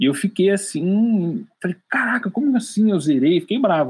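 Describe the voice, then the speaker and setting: Lively intonation from a man with a high pitch. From interior of São Paulo state, Brazil (Piedade). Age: 20s. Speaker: salesman. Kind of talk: interview.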